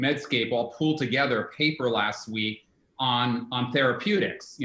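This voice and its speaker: A normal speaking voice from a man, medium in pitch, moderate in pace, with ordinary pitch variation. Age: 60s. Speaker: herbalist and author. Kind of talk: interview.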